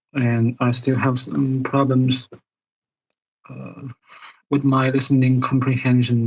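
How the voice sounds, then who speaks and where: A man with a non-native accent, somewhat breathy, fairly slow and flat in a monotone. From Asia. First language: not English. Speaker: caller. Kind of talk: casual chat. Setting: video call. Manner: halting, many fillers.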